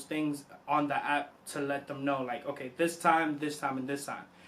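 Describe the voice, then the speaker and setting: A man's fairly high voice in a flat monotone. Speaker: vlogger, new father. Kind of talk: casual vlog tips list. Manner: loud; casual, conversational.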